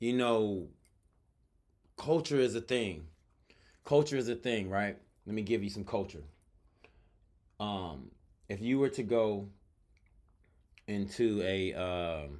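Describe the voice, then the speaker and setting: At a very slow pace with long, frequent pauses, the speaker uses lively intonation. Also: man, fairly low pitch for a man. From US South, Atlanta. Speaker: podcast host. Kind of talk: reaction commentary. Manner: casual, halting.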